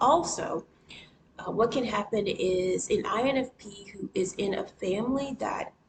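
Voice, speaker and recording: There is noticeable background noise as a woman speaks at a fairly slow pace. Her pitch is fairly high, with ordinary variation. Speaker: writer. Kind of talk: casual talk to camera. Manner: hesitant, stammering.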